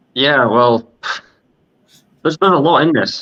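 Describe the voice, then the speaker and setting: A man's bright, sharp tone. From Scotland. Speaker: podcast co-host. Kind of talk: casual discussion. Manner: halting, many fillers and repeats.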